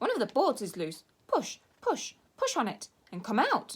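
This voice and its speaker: A woman's put-on character voice, high in pitch. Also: moderate pace. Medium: read story. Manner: fast, repeating words.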